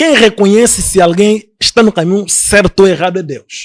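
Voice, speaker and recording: Heard in a dry, close sound with no echo, a man speaks at a moderate pace in a high pitch. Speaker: apostle, religious leader. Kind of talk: heated debate. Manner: halting, repeats words.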